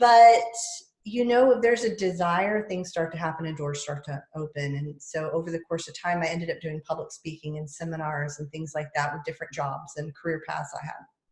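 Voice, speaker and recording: With a Southern US accent, a woman talks at a fairly quick pace in a fairly low pitch, her pitch varying in an ordinary way. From US South. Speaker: podcaster and public speaker. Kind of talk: casual interview chat.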